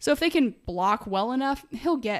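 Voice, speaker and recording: A woman's fairly high voice in an American accent, with vocal fry and very wide pitch swings. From US Midwest (Greenwood, Indiana). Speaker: podcast co-host, football analyst. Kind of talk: casual sports chat. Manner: animated.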